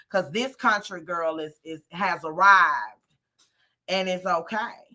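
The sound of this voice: A woman talks at a fairly slow pace in a Southern US accent. Her tone is bright and sharp, with ordinary pitch variation. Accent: country, Southern US.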